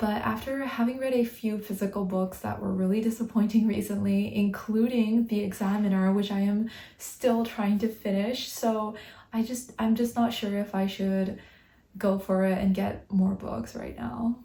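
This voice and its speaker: Her voice is somewhat breathy and of medium pitch. The woman speaks at a moderate pace in a flat monotone. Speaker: book vlogger. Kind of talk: casual vlog talk. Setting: at home at night.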